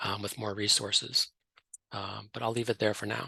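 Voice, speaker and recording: A man speaks fairly quickly in a fairly low, monotone voice with a bright, sharp tone. The sound is dry and close with no echo, over a quiet background. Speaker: voting rights lawyer, webinar panelist. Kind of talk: webinar presentation. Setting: online webinar. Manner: halting, many fillers; fast.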